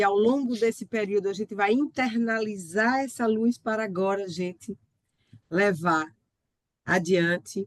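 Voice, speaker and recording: At a very slow pace, a woman speaks in a medium pitch with ordinary variation, the sound dry and close without echo. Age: 60s. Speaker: physician and biographical counselor. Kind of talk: online talk. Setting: video call.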